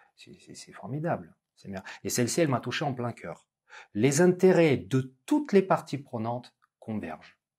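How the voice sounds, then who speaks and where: A man speaks in a dark, mellow tone that is somewhat breathy, with very wide pitch swings. The background is quiet. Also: fairly slow pace, big swings in loudness. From Russia. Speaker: business school lecturer and interviewer; business school lecturer, interviewer. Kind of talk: interview conversation. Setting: business school campus. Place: studio.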